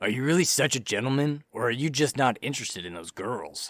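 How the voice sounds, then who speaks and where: A man does a raspy, put-on character voice at medium pitch, racing at a very fast pace with lively intonation. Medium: read story. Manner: mocking, smug.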